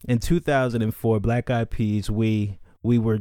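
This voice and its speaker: With an American accent, a man speaks at a moderate pace in a dark, mellow tone with ordinary pitch variation. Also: very clean recording, silent background. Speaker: podcast host. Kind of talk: casual chat. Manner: animated, joking.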